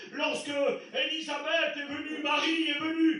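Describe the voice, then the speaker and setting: Over noticeable background noise and audible room echo, a man speaks in a raised, projected voice. His delivery is fairly slow and monotone, with flat intonation. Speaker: pastor. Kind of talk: sermon. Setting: church. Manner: loud.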